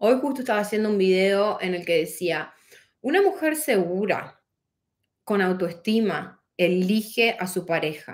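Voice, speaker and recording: A woman speaks in a northeastern Argentine accent at a medium pitch. Her pace is fairly slow against a quiet background. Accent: Argentine Spanish (northeastern, voseo). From Argentina, Posadas, Misiones; Misiones, Argentina. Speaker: life coach. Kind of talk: motivational livestream talk. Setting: livestream on several platforms. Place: home room. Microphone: phone near.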